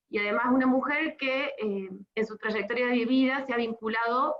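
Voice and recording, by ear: At a moderate pace, a woman speaks with a fairly high pitch and fairly even intonation.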